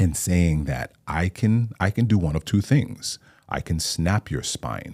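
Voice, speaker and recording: Dry, close sound with no echo carries a man's very deep, low voice, marked by vocal fry and lively intonation. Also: very clean recording, silent background. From Hawaii, Maui. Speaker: actor and playwright. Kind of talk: interview conversation. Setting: studio.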